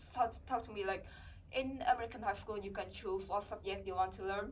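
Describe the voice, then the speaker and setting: With a Vietnamese accent, a woman speaks at a medium pitch with ordinary pitch variation. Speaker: international college student. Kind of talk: interview. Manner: halting.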